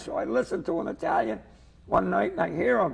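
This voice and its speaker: The speaker is a man with a Boston accent. Noticeable background noise can be heard. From Lynn, Massachusetts. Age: 70s. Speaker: comedian. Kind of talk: comedic interview chat. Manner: animated.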